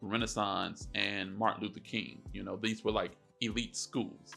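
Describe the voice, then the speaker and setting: With music in the background, a man with an American accent speaks at a moderate pace and a medium pitch. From Detroit, Michigan. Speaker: YouTuber. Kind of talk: storytime monologue. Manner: casual, halting.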